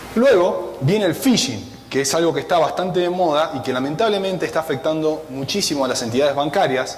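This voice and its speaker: With noticeable background noise and audible room echo, a man with an Argentine accent speaks at a fairly quick pace. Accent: Argentine (Rioplatense) Spanish. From Argentina, Buenos Aires. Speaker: cybersecurity analyst. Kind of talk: conference talk.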